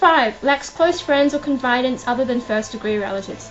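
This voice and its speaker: Music plays in the background as a woman speaks in a high pitch with ordinary pitch variation. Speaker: vlogger. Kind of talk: casual vlog talk. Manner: fast; hesitant, many fillers.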